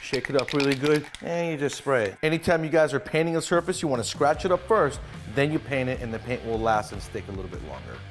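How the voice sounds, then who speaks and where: A man speaks at a very fast pace while clear music plays in the background. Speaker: mechanic show host. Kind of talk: tutorial. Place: garage.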